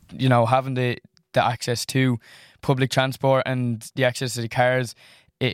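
In an Irish accent, a man speaks at a medium pitch with monotone, flat intonation, the sound dry and close with no echo. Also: very clean recording, silent background. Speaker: college student. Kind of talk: student panel discussion. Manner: halting, repeats words.

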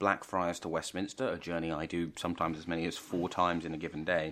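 Very fast and very deep, this man's low voice comes through on a very clean recording with a silent background. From London, East End. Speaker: podcast co-host, journalist. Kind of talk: casual chat. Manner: animated.

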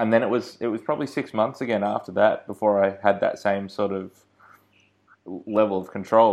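With an Australian accent, a man speaks at a fairly low pitch and moderate pace, with fairly even intonation against a quiet background. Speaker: podcast host. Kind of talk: interview.

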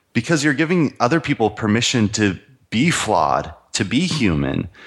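Speaking at a fairly slow pace with an American accent, a man shows very wide pitch swings and vocal fry. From US, Idaho. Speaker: entrepreneur and men's coach. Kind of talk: interview.

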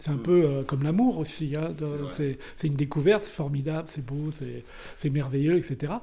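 A man's voice, fairly high in pitch, with a dark, mellow tone. His pitch varies in an ordinary way, and he sounds somewhat breathy. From Brittany, France. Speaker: war photographer. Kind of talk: casual chat.

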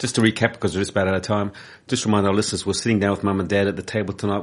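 A man with a New Zealand accent, monotone and flat in intonation, over a quiet background. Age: 60s. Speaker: community radio host. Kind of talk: radio interview. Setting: radio studio.

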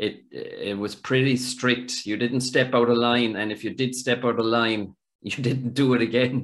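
This man has an Irish accent and a medium pitch, with monotone, flat intonation. His pace is fairly slow, yet he hardly pauses. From Ireland. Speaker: podcast host. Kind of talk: casual interview.

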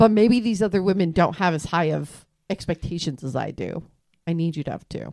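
A woman's fairly low, dark, mellow voice at a fairly quick pace, with ordinary pitch variation. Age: 30s. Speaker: podcast co-host. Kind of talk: casual chat. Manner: animated.

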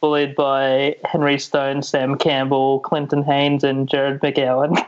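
A man speaks in a fairly high pitch. He has an Australian accent. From Sydney, Australia. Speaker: comedian. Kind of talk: casual chat. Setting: video call.

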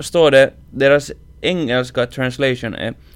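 A fairly slow delivery in a Finland-Swedish accent. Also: man. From Finland (Swedish-speaking). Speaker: podcast host. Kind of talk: casual chat.

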